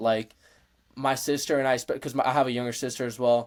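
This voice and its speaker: Very clean audio with a silent background, featuring a man at medium pitch with a Spanish accent. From Mexico. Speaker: powerlifter and college student. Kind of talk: casual interview chat. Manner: relaxed, many fillers.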